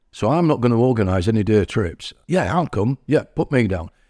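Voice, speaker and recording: A man with an East Yorkshire accent talks at a fairly quick pace in a dark, mellow tone with very wide pitch swings, on a very clean recording with a silent background. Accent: East Yorkshire (Hull) English. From Hull, East Yorkshire, England. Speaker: community centre member. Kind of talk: casual interview. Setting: community centre.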